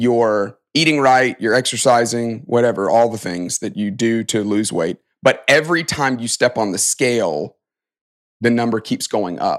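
In a Southern US accent, a man speaks at a moderate pace and medium pitch with ordinary pitch variation, on a very clean recording with a silent background. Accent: Southern American. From US South, Alabama (Tuscaloosa). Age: 40s. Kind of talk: interview.

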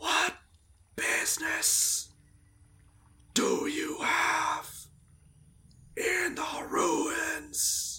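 In a put-on character voice, a woman speaks very slowly, sounding raspy, breathy, hoarse and strained. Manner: whispering, menacing.

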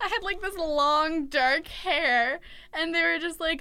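A woman projects a raised voice at an extremely high pitch, bright and sharp in tone. She goes very slowly, with ordinary pitch variation. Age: 20s. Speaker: student radio podcast co-host. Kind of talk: casual chat.

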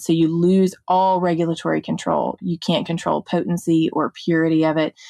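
A woman's fairly low, dark, mellow voice in a Mississippi accent, with fairly even intonation, a dry, close sound with no echo and a quiet background. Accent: Southern US (Mississippi). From US South, Mississippi (Jackson). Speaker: drug policy advocate, nonprofit founder. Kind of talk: interview conversation.

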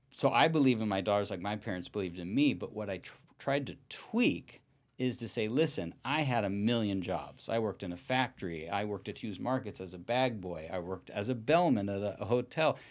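A man with a normal speaking voice talks at a fairly quick pace. His fairly low pitch rises and falls with lively intonation. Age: 50s. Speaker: real estate broker and attorney. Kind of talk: casual interview.

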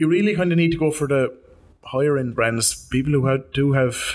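A man with an ordinary speaking voice, fairly high in pitch, ordinary pitch variation, at a fairly quick pace. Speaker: podcast host. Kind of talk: casual interview chat. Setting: studio.

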